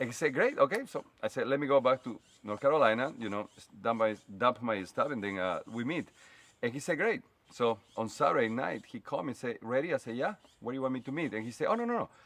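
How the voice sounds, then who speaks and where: With a Spanish accent, the speaker races along at a very fast pace, intonation lively and loudness swinging widely, against a quiet background. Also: man, medium pitch for a man. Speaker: fashion stylist. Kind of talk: casual chat. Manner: direct.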